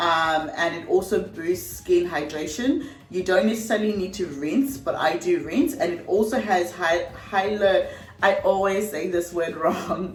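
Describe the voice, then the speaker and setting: Music plays and room echo is audible as a woman speaks fairly slowly at medium pitch with lively intonation. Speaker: beauty vlogger. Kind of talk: tutorial. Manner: casual, chatty.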